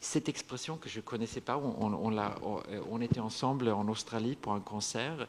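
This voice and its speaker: Ordinary pitch variation marks this man's speech at a medium pitch. He talks with a Swedish accent. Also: moderate pace, hardly any pauses. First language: Swedish (speaking French). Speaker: singer-songwriter. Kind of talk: panel discussion at literary festival. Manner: halting, many repetitions and fillers.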